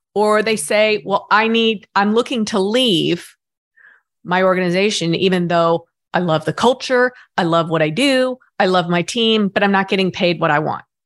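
Recorded very cleanly over a silent background, a woman speaks at a medium pitch with ordinary pitch variation and very even loudness. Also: moderate pace. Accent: American. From US South. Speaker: finance executive. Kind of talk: interview. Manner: halting.

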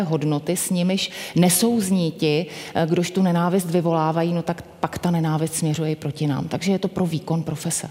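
A woman's fairly low-pitched voice, fairly quick and fairly even in intonation, over noticeable background noise. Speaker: chief public prosecutor. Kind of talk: panel discussion.

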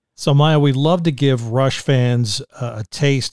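An enthusiastic, somewhat breathy man's voice with a dry, close sound and no echo. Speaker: podcast host. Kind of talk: podcast interview.

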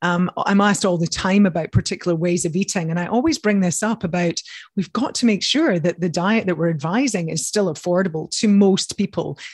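Speaking fairly quickly with hardly any pauses, a woman uses a medium, somewhat breathy pitch with ordinary variation, in a dry, close recording with no echo. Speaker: dietitian and nutrition scientist. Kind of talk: interview.

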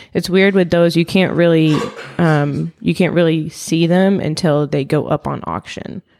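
At a moderate pace, a woman speaks with an unremarkable speaking voice, fairly low in pitch with fairly even intonation. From US small town, born in Palestine. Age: 20s. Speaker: podcast guest. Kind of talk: casual chat.

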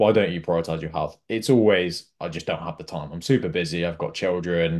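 The background stays quiet. A man talks in a very deep, low voice. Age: 20s. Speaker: executive health coach. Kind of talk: interview.

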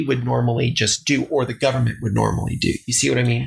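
Vocal fry runs through this man's medium-pitched voice. His pitch varies in an ordinary way. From Texas, El Paso. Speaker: government finance director. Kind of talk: interview. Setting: home basement studio.

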